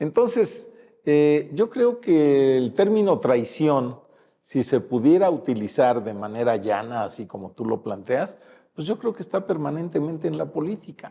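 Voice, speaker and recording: A man talks at a fairly slow pace in a dark, mellow tone. His pitch swings very widely against a quiet background. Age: 70s. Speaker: retired politician. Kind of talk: interview. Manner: halting, many fillers.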